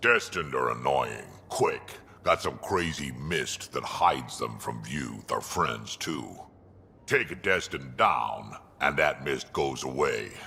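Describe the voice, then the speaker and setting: The man's very deep, low pitch and fairly slow pace belong to a put-on character voice. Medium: video game. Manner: blunt, gruff, plain-spoken.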